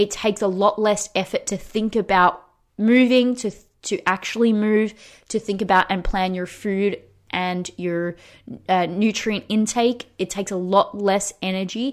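A normal speaking voice from a woman, medium in pitch, with fairly even intonation and a moderate pace, on a very clean recording with a silent background. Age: 30s. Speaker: fitness coach and podcast host. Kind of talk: casual solo podcast talk.

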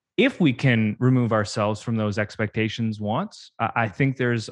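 Over a quiet background, a man with a Canadian accent speaks in a plain, everyday voice at medium pitch and a moderate pace, his intonation fairly even. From Canada. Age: 30s. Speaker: church communications consultant. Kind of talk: casual interview.

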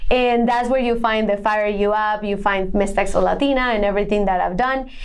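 A woman's fairly high voice in a Spanish accent, with fairly even intonation and audible room echo. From Colombia (Bogota). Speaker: women's empowerment entrepreneur. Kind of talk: interview. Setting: podcast.

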